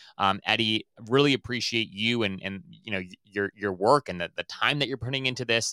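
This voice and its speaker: A man with a medium-pitched, bright, sharp voice talks in an animated tone at a fairly quick pace, recorded dry and close with no echo on a very clean, silent background. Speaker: podcast host. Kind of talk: casual interview chat. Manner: animated, friendly.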